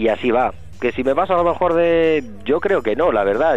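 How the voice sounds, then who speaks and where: Music in the background behind a man with lively intonation at a moderate pace. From Madrid, Spain (family from Soria). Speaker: basketball journalist. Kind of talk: casual radio interview. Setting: radio studio.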